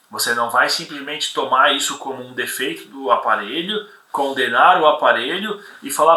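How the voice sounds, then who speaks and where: A man at a moderate pace, with audible room echo. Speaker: property inspection instructor. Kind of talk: live webinar lecture with Q&A. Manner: halting, many repetitions.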